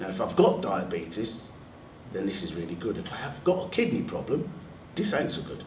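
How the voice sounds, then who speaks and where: A man talks at a fairly quick pace with very wide pitch swings. Audible room echo and noticeable background noise surround him. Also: medium pitch for a man. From London. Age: 60s. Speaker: NHS staff member and army veteran. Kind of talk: panel talk sharing personal experience.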